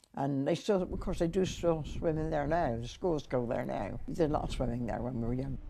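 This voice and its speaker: The room echo is audible around a woman with a very deep, low voice. She talks at a fairly quick pace with lively intonation and hardly any pauses. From Wiltshire, England. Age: 80s+. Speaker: elderly local resident. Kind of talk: interview reminiscence.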